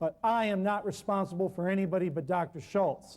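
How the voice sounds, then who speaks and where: A man speaks loudly at a moderate pace, his pitch high with ordinary variation. His tone is dark and mellow. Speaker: natural healing herbalist lecturer. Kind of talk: public talk. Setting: live public appearance. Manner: animated.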